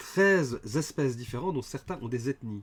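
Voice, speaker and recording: A man talks with lively intonation. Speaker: game designer and livestream host. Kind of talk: livestream presentation. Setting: live stream with chat.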